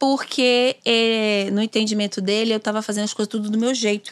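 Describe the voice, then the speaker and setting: Recorded very cleanly against a silent background, with a dry, close sound and no echo, a woman with an unremarkable speaking voice talks at a fairly high pitch and moderate pace. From Bahia, Brazil (Simões Filho, near Salvador). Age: 30s. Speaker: doula and lawyer. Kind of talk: casual interview. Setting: studio.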